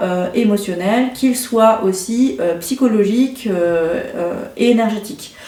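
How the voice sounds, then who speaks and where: There is audible room echo and noticeable background noise. Through it, a woman speaks at a fairly high pitch with ordinary pitch variation. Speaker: intuitive card reader and energy healer. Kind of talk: card reading guidance. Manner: hesitant, many fillers.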